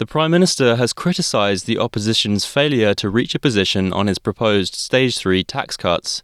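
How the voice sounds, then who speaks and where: Medium-pitched male speech in an Australian accent, fairly quick and lively in intonation, in a very clean recording with a silent background. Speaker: news presenter. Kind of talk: radio news bulletin reading. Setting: studio. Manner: crisp, measured newsreader delivery, even and neutral in tone; formal, scripted, steady pacing through headlines.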